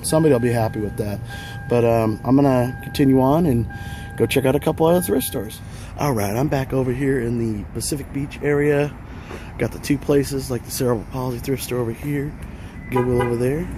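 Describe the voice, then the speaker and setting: A man talks at a medium pitch with ordinary pitch variation. Noticeable background noise runs behind him. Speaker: retro game collector vlogger. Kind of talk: casual vlog. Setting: in and around thrift stores. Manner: casual, filler-heavy.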